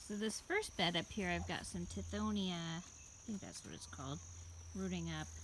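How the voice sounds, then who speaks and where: A quiet woman's voice at a moderate pace. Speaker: home gardener. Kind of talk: casual garden tour narration.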